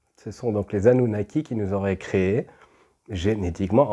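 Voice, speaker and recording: A man's very deep, low voice, dark and mellow, at a moderate pace with ordinary pitch variation, in a very clean recording with a silent background. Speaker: spiritual channeler, video host. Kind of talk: casual spiritual monologue to camera. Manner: halting, repeats words.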